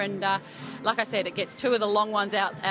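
A woman races through her words at a very fast pace while clear music sounds behind her. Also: dry sound with no echo. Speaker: team coach. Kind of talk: interview answer. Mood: pleased, upbeat after win. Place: hall. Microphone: handheld.

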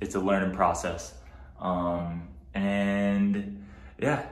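A man speaks with an American accent at a fairly low pitch. His pitch varies in an ordinary way, and the room echo is audible. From New Jersey. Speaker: vlogger and research assistant; vlogger. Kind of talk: casual vlog. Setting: at home, apartment tour. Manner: casual, frequent filler words. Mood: friendly, a bit self-conscious. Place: home room. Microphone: phone near.

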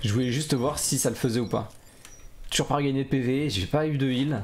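Delivery comes at a moderate pace with ordinary pitch variation. Faint music plays in the background. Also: man. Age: 40s. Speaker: gaming YouTuber; gaming streamer. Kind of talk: gameplay commentary; casual gameplay commentary. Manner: casual, hesitant with fillers. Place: home room.

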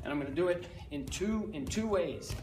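Faint music sits behind a man with a high pitch. He talks at a fairly slow pace with ordinary pitch variation. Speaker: fitness coach. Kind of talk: tutorial. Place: gym.

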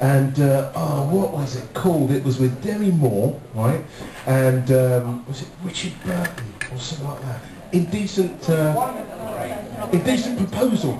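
A man speaks at a fairly slow pace with a fairly high pitch and lively intonation. There is noticeable background noise. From England. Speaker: audience warm-up comedian. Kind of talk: cheeky crowd-work warm-up patter riffing with a live studio audience. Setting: TV studio with live audience. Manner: playful, flirty and teasing; energetic, rallying crowd to cheer. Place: studio.

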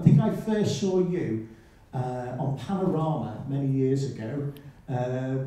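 A man is speaking. His voice carries a strong room echo. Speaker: event chair. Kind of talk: event introduction and Q&A moderation. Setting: lecture hall with audience.

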